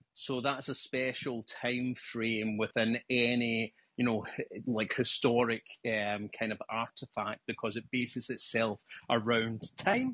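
A man with a Scottish accent talks at a fairly slow pace, medium in pitch, with monotone, flat intonation and a bright, sharp tone. The sound is dry and close with no echo, over a quiet background. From Scotland. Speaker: live discussion participant. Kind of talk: casual discussion. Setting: remote call.

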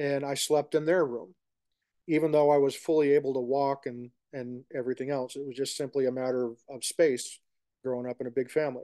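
With an American accent, a man speaks at a fairly quick pace in a dark, mellow tone, his fairly high pitch flat and monotone while his loudness swings widely. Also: quiet background. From New York. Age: 50s. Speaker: podcast host. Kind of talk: casual chat. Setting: video call.

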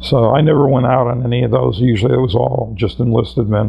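Here a man speaks at medium pitch. His intonation is fairly even. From Connecticut, US. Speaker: war veteran. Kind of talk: oral history interview. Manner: hesitant, with many fillers.

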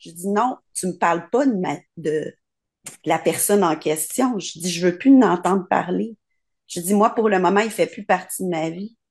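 Against a quiet background, a woman talks at a moderate pace. Her intonation is lively. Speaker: participant. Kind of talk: personal sharing. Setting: video call. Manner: shy. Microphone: video call.

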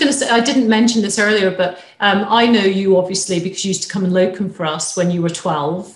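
A woman with a somewhat breathy voice talks at a fairly quick pace amid audible room echo. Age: 50s. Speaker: equine vet; webinar host. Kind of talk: webinar hosting with Q&A. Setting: live webinar, video call. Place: home room. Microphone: webcam.

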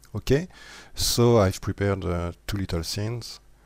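Recorded very cleanly against a silent background, a man with a non-native accent speaks with fairly even intonation. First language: not English. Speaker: 3D modeling tutorial maker. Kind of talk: software tutorial voice-over. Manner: hesitant, many fillers.

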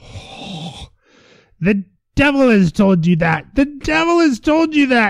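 Using a put-on character voice, a man speaks at an extremely high pitch with very wide pitch swings and a fairly slow pace. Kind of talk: comic fairy tale reading. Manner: demanding, gloating.

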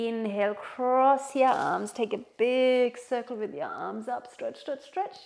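Ordinary pitch variation from a woman at a fairly slow pace. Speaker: yoga instructor. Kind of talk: guided yoga instruction. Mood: calm, soothing, encouraging. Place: home room.

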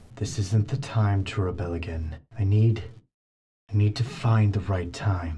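Using a put-on character voice, a man speaks at a fairly slow pace with a fairly low pitch. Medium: dub.

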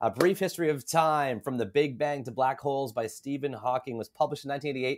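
Pitch varies in an ordinary way as a man speaks at a fairly quick pace. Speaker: podcast host. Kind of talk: interview host reading book introduction. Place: home room. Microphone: studio mic.

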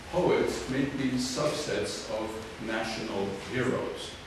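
A man is speaking amid noticeable background noise. Strong room echo surrounds his voice. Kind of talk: lecture. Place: hall.

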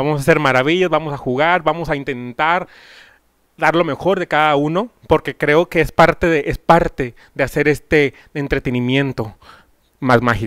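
A man talks at a fairly high pitch and a moderate pace, with ordinary pitch variation. The sound is dry with no echo, and the background is quiet. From Mexico, Monclova (Coahuila); Coahuila, Mexico. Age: 30s. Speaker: singer-songwriter interviewer. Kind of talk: casual interview. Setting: at the guest's home. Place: home room. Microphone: handheld.

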